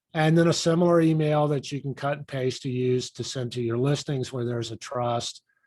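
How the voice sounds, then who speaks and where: An unremarkable speaking voice from a man, at a moderate pace with fairly even intonation. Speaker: lawyer teaching real estate agents. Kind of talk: online class. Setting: video call with screen share.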